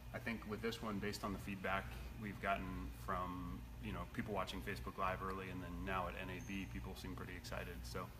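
Music plays in the background as a man talks at a fairly quick pace. His pitch is very deep and low. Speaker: product manager host. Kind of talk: casual live stream chat. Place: workshop. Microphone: phone near.

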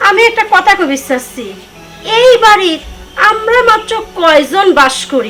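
Over faint background music, a woman does a put-on character voice at an extremely high pitch, with a bright, sharp tone, lively intonation and a moderate pace.

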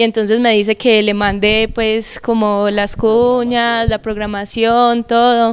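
A woman's fairly high, monotone, flat delivery at a very slow pace, with hardly any pauses and very even loudness. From Colombia, Antioquia (paisa). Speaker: TV show co-host. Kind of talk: casual chat. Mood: amused storytelling. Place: studio. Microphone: handheld.

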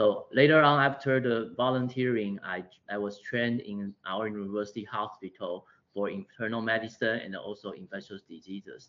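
With a Taiwanese accent, a man talks at a moderate pace with ordinary pitch variation and big swings in loudness. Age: 40s. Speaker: public health physician. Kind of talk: lecture. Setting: video call. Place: office. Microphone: video call.

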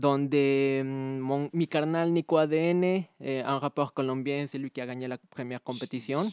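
The speaker has a Spanish accent. The sound is dry with no echo, and the background is quiet. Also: man. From Mexico. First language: Spanish (speaking French). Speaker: battle rapper; guest. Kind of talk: casual interview. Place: studio. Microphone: studio mic.

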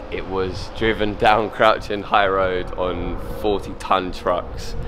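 Noticeable background noise behind a man talking at a moderate pace. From London, England. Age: 20s. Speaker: chef. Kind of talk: interview. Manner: halting. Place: street.

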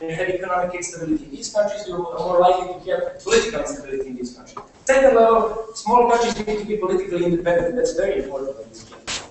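A man with a Serbian accent and a high pitch, very fast with hardly any pauses, lively intonation and big swings in loudness, amid strong room echo and light background noise. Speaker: university debater. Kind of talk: competitive debate speech. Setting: stage with audience. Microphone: camera far.

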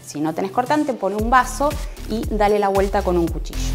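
Faint music plays behind a woman's speech. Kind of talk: tutorial. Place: kitchen. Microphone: lapel.

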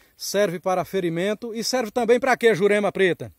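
A man at a moderate pace with ordinary pitch variation, in a dry sound with no echo and a quiet background. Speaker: interviewer and videographer. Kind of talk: casual interview host outdoors. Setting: outdoors. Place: forest. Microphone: phone near.

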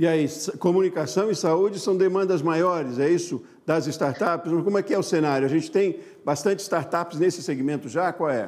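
A man speaks at a high pitch and a moderate pace. His loudness is very even and his pitch varies in an ordinary way. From Brazil. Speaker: news anchor. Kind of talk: news reading; interview. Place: studio. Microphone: lapel.

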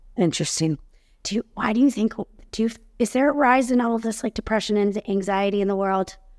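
An American-accented woman talks at a fairly quick pace with ordinary pitch variation. The background is quiet. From Chicago suburbs. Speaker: podcast host. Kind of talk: interview. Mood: curious, interested. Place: home room. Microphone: webcam.

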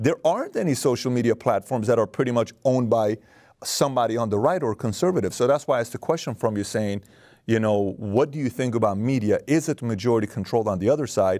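The background is quiet as a man speaks at a very fast pace. His medium-pitched voice has a dark, mellow tone and ordinary pitch variation. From Iran. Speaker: podcast host. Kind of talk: interview. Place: studio. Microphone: lapel.

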